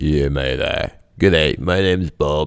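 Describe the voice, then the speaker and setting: Drawling at a fairly slow pace, a man puts on a character voice in an Australian accent, pitched very deep and low. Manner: casual drawl.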